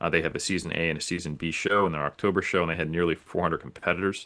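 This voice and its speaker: A man with an American accent speaks in a very deep, low pitch and a monotone, flat intonation. His tone is bright and sharp, and the background is quiet. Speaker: natural bodybuilder and coach. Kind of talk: podcast interview.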